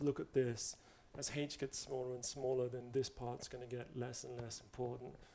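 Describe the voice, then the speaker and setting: Speaking with a non-native accent, a man talks at a fairly quick pace. His voice is medium in pitch with a dark, mellow tone. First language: not English. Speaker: mathematics lecturer. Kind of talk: lecture. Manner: casual, conversational.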